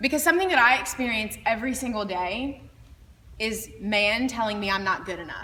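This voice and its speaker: A woman's fairly high, lively voice at a fairly quick pace, with noticeable background noise and audible room echo. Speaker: beauty pageant titleholder. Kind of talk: inspirational talk to students. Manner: loud.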